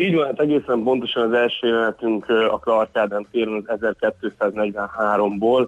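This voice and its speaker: A man's medium-pitched voice, fairly slow and fairly even in intonation, with hardly any pauses. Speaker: tour company manager. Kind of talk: phone interview. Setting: phone call. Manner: halting, repeats words.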